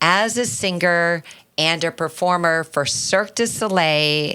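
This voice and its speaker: On a very clean recording with a silent background, a woman speaks very slowly in a fairly low pitch, her tone bright and sharp and her intonation lively. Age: 60s. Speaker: podcast co-host. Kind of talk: casual chat. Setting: studio.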